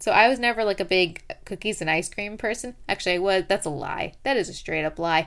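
On a very clean recording with a silent background, a woman speaks at a moderate pace and medium pitch with lively intonation. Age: 20s. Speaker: fitness podcast host and personal trainer. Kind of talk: casual vlog monologue. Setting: home, in pajamas at night.

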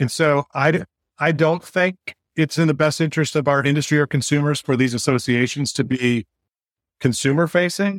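Recorded with a dry, close sound and no echo, a man talks at a fairly quick pace with a fairly high pitch, ordinary pitch variation and very even loudness. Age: 50s. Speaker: mortgage tech company executive. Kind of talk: podcast interview. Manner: animated.

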